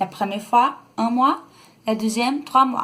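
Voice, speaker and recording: A woman speaks with a Brazilian accent. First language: Brazilian Portuguese (speaking French). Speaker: vlogger. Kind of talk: casual vlog talk. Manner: halting, many hesitations.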